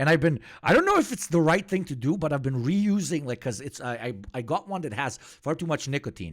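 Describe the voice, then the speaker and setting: A man talks very fast and loud, with very wide pitch swings and an animated tone. The recording is very clean, with a silent background. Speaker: political streamer. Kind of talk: livestream chat.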